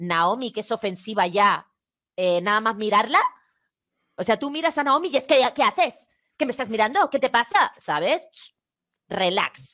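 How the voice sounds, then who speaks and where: A woman's bright, sharp tone with very wide pitch swings, a moderate pace and long, frequent pauses over a quiet background. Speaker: YouTuber; guest commentator. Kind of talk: casual chat. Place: home room. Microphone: headset.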